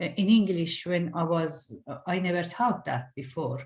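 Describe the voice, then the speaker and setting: A woman speaks with a strong Iranian accent. Her pitch is fairly low and her pace fairly slow. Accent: Iranian accent, heavy. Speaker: artist. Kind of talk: interview. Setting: video call. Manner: halting.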